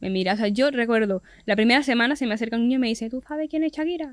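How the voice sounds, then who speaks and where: A woman's fairly high voice with ordinary pitch variation, in a very clean recording with a silent background. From Venezuela. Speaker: podcast guest. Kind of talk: casual chat.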